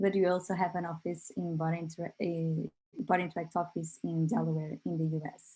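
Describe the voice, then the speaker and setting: Her tone is dark and mellow, and the woman sounds somewhat breathy. She speaks at a moderate pace with a fairly low pitch. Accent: Portuguese. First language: Portuguese. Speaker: company representative presenting a product. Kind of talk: online workshop presentation. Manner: hesitant, many fillers.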